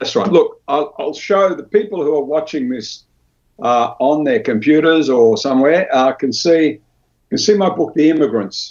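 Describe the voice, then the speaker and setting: Lively intonation marks this man's speech. He talks with an Australian accent. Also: fairly high pitch for a man, moderate pace. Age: 70s. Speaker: author. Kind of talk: interview.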